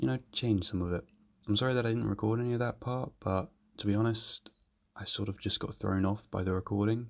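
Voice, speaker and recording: Quietly and at a very fast pace, a man speaks in a fairly low voice with fairly even intonation. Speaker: design student youtuber.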